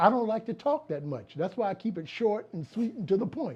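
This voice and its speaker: The speaker is a man. He talks fairly quickly. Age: 60s. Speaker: comedy writer and producer. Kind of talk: interview. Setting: video interview on camera. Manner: conversational, with fillers.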